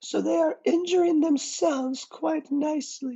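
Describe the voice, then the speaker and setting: This put-on character voice is high-pitched and moves at a moderate pace. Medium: read story. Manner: smooth, firm.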